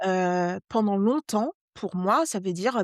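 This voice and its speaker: A woman with a Parisian accent speaks at medium pitch with lively intonation. The sound is dry and close with no echo, on a very clean recording with a silent background. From Brittany, Guadeloupe and West Africa (mixed childhood). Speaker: journalist and novelist. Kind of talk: interview conversation. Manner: many hesitations (heu, hem); slightly struggles with some words.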